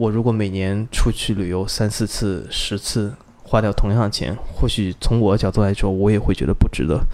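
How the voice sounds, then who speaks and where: Here a man talks at a moderate pace with hardly any pauses. His voice is fairly low, with fairly even intonation. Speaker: car enthusiast, podcast listener. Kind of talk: casual interview chat. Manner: gentle, soft-spoken.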